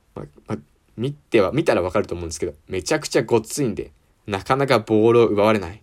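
His speech races along very fast. This man's voice sits fairly low. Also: very clean recording, silent background. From Japan, Ibaraki. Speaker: university student podcaster. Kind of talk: casual solo sports talk. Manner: animated.

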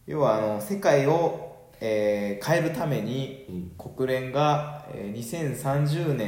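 Pitched in the middle range, a man talks at a very slow pace with hardly any pauses and lively intonation, amid audible room echo and noticeable background noise. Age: 30s. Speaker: podcast host. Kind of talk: casual chat.

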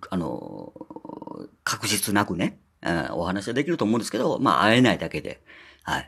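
With an ordinary speaking voice, a man talks at a fairly quick pace, his fairly low pitch moving in lively intonation. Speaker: podcaster. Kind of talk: casual solo talk. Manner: chatty, many filler words.

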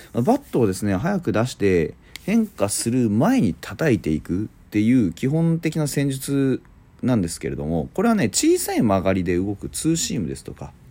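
A man at a medium pitch whose voice swings very widely up and down. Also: moderate pace. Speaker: baseball podcaster. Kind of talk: solo talk show. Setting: hotel room on business trip. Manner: casual, filler-heavy.

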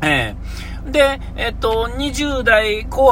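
Audible room echo and noticeable background noise surround a man talking at a fairly slow pace. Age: 40s. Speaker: podcast host. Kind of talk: solo podcast monologue. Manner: halting, many fillers.

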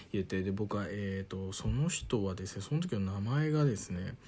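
This man's voice sits fairly low and has a calm tone. His intonation is lively. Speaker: radio personality. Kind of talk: solo travel storytelling monologue.

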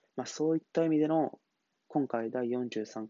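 A man speaks in a calm tone at a moderate pace, with ordinary pitch variation. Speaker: solo podcaster. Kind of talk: solo monologue podcast.

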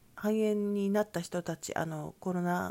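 In a very clean recording with a silent background, a woman speaks in a calm tone at a fairly low pitch. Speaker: solo podcaster. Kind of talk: solo monologue. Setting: soundproofed session room. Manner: calm, unhurried.

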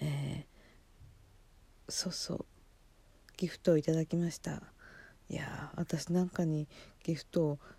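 Long pauses come often as the words unfold very slowly. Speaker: solo podcaster. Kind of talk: casual monologue. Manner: halting, many fillers.

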